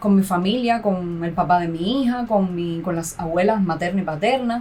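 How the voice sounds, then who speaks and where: A woman with a Cuban accent speaks at medium pitch with ordinary pitch variation. Audible room echo and noticeable background noise fill the recording. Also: moderate pace. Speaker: graduate student and mother. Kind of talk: podcast interview. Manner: halting.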